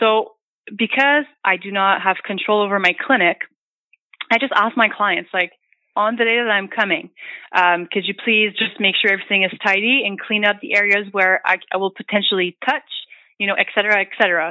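A woman with a Franco-Ontarian accent speaks at a fairly quick pace and with fairly even intonation. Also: medium pitch for a woman. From northern Ontario, Canada. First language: French. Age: 20s. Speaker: massage therapist. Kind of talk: casual chat. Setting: phone call.

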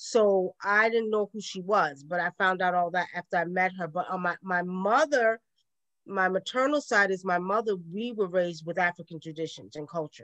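A woman's voice with ordinary pitch variation, dry and close with no echo, over a quiet background. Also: medium pitch for a woman, moderate pace. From Brooklyn, New York. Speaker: spiritual elder. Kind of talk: interview.

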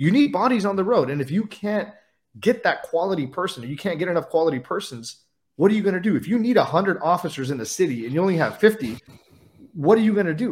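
With an American accent, a man talks in an animated tone at a very fast pace and high pitch, his pitch swinging very widely. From California, Central Valley. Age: 30s. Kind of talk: casual chat.

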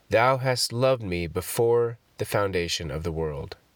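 A man speaks at a fairly slow pace in a solemn tone. His pitch varies in an ordinary way. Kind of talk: fervent prayer read aloud from a Puritan devotional collection. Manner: solemn, reverent, earnest devotional cadence.

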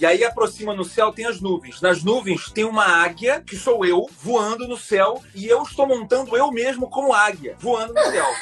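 Ordinary pitch variation at a moderate pace with hardly any pauses, over noticeable background noise. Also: man, high pitch for a man. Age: 40s. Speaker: video editor. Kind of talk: casual chat. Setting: video call.

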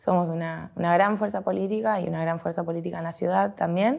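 A woman talks in a fairly low pitch with an Argentine accent. Her pace is fairly quick. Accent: Rioplatense Argentine Spanish. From Argentina, Olavarría (Buenos Aires province). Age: 30s. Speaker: politician, provincial deputy candidate. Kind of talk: interview. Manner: halting, with frequent fillers and repetitions.

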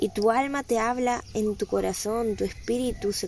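A woman speaks in a calm tone. Her intonation is monotone and flat. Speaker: spiritual guide and podcast host. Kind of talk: motivational spiritual monologue. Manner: calm, serene.

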